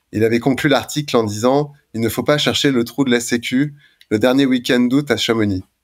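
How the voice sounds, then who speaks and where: Very clean recording with a silent background, featuring a man at a moderate speed, his pitch varying in an ordinary way. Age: 40s. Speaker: anesthesiologist and ultra-trail runner. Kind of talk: interview. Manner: hesitant, many fillers.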